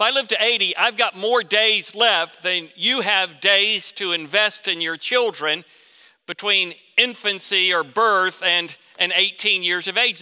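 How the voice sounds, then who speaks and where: A raised, projected voice with a bright, sharp tone, in a Southern US accent, with ordinary pitch variation and a fairly slow pace. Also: man. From Florida. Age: 50s. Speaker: pastor. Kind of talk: sermon.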